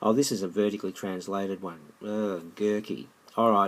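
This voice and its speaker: This man's voice sits fairly low, and his intonation stays fairly even. He keeps a moderate pace on a very clean recording with a silent background. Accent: Australian. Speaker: maths teacher. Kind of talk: tutorial. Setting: screencast recording. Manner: halting, self-correcting.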